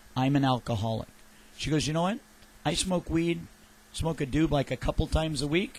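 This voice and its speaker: A man's somewhat breathy voice with long, frequent pauses, on a very clean recording with a silent background. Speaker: radio host. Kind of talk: casual chat. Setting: studio.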